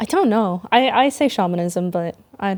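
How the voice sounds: A woman speaks at a moderate pace with a medium pitch and a slightly mellow tone. Her intonation is lively.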